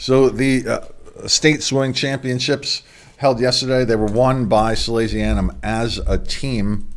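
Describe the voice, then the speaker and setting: Noticeable background noise behind a man speaking at a very slow pace. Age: 60s. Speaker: sports show host. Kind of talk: sports news report. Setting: home studio. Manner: casual.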